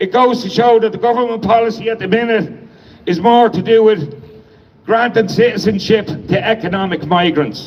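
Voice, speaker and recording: A man with an Irish accent talks at a moderate pace in a high pitch with ordinary pitch variation. Noticeable background noise runs behind him. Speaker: protest organiser and speaker. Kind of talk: protest speech. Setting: outdoor protest crowd.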